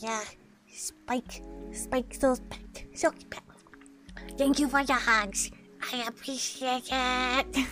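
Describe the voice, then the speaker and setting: Faint music plays in the background as a put-on character voice speaks at a fairly slow pace. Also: woman. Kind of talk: cute character voice. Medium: game stream. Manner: curious, chirpy, easily confused.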